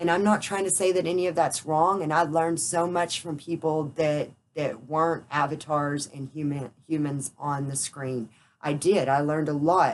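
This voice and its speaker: A woman with a very deep, low pitch, fairly even intonation and a moderate pace. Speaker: spiritual vlogger. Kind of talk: personal vlog monologue. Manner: unscripted, rambling.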